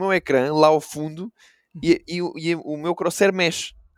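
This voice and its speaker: On a very clean recording with a silent background and a dry, close sound with no echo, a man speaks at a high pitch and a moderate pace. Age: 20s. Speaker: esports caster. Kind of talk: casual chat.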